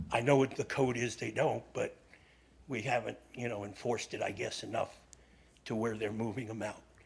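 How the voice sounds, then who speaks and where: A man at medium pitch talks at a moderate pace with long, frequent pauses, his somewhat breathy voice flat and monotone. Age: 70s. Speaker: resident giving public comment. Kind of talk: public comment at council meeting. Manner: halting.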